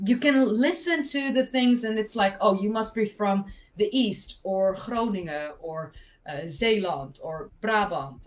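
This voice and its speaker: Someone with a Dutch accent speaks at a fairly slow pace, with very wide pitch swings and big swings in loudness. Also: woman, fairly high pitch for a woman. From Netherlands, North Holland (West Frisian area). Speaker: history content creator. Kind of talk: casual chat. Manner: animated.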